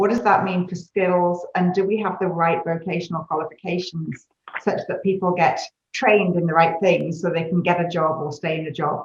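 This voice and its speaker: A woman talks at a moderate pace in a fairly low pitch, her intonation flat and monotone. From UK. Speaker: consulting executive. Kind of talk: panel discussion.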